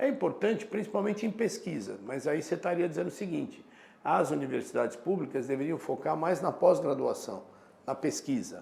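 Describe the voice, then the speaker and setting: The man's tone is dark and mellow, with vocal fry. He speaks at a moderate pace with lively intonation. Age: 60s. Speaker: professor. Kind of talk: casual chat.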